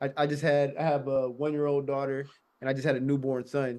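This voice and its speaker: A man at a fairly quick pace with monotone, flat intonation. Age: 30s. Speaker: teacher and new landlord. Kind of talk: interview.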